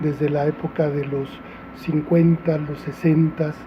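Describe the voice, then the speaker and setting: Intonation remains fairly even throughout. Behind it, background noise is noticeable. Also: man. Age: 60s. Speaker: restaurateur and former activist. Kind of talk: interview testimony. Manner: halting, many fillers.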